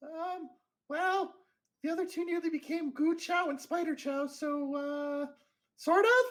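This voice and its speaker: A squeaky, put-on character voice speaks at a fairly slow pace in an extremely high pitch. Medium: actual play. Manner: hesitant, filler-heavy, eager.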